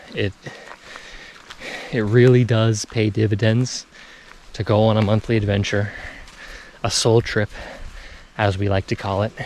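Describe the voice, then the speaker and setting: Noticeable background noise sits behind a man whose fairly low voice stays monotone and flat, broken by long, frequent pauses. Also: moderate pace. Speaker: spiritual self-development vlogger. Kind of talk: casual vlog monologue while walking. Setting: outdoors in foggy nature.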